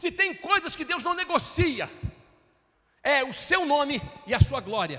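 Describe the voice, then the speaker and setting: A man's raised, projected voice. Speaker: pastor. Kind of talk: sermon.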